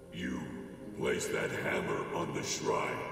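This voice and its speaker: A man performs a put-on character voice amid strong echo and clear background noise. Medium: machinima. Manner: commanding, contemptuous.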